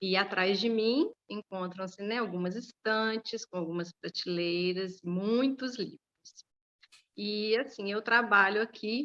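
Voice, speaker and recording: Recorded dry and close with no echo, a woman speaks very slowly at a medium pitch, her bright, sharp tone showing ordinary pitch variation. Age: 30s. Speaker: school librarian. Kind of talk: interview. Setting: school library, video interview.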